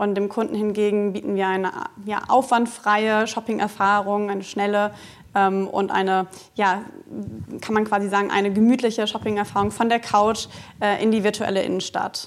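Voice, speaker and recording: Flat, monotone intonation from a woman, delivered at a moderate speed. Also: medium pitch for a woman. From Germany, Cologne. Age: 30s. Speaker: retail business manager. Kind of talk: live interview with audience. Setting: studio with live audience.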